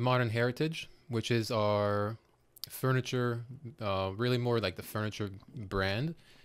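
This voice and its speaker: A man talks fairly slowly, with a quiet background behind him. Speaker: furniture designer; podcast guest. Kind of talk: casual interview. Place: studio. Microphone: studio mic.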